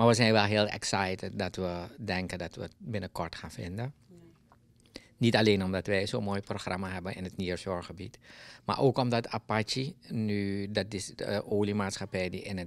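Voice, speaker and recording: Fairly low in pitch, this man has a plain, everyday voice. He keeps a moderate pace with fairly even intonation. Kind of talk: interview answer. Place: office. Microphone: handheld.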